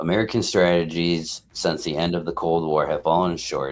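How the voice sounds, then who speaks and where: Very deep and low in pitch, a man's voice moves at a moderate pace on a very clean recording with a silent background. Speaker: political commentary streamer. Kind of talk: reading aloud with commentary. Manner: halting, stumbles over words; casual, informal.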